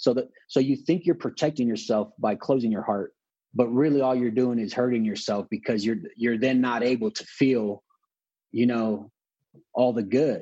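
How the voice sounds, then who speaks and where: Dark and mellow in tone, a man with a Southern California accent speaks at a moderate pace. His pitch is medium, with ordinary variation. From Los Angeles, California (Wilmington, San Pedro). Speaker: author and public speaker, former gang member. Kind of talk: interview conversation.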